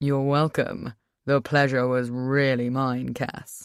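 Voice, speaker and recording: On a very clean recording with a silent background, a man does a put-on character voice, drawling at a fairly slow pace with a medium pitch and monotone, flat intonation. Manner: stupid, mocking drawl.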